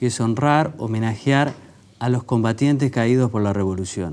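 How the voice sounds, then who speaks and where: A man with an unremarkable speaking voice at a moderate pace. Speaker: author, journalist. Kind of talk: TV interview.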